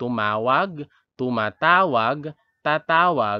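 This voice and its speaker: A man's very slow speech with lively intonation. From Philippines, Iloilo (Western Visayas). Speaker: elementary teacher, language tutor. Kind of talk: tutorial. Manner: slow, deliberate repetition.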